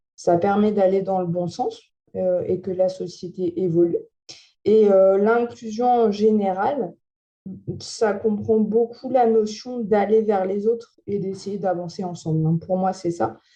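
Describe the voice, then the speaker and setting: The tone is dark and mellow, with a very slow pace and fairly even intonation. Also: woman, medium pitch for a woman. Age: 20s. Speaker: visually impaired TV and podcast host. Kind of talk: interview testimony. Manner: hesitant, many fillers.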